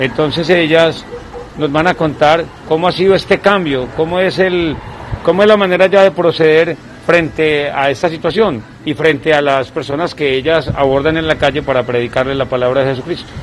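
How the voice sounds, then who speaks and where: There is noticeable background noise behind a man with a fairly high voice. He talks at a moderate pace with ordinary pitch variation. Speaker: supermarket worker abroad, guest. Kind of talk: recorded testimony and street interview.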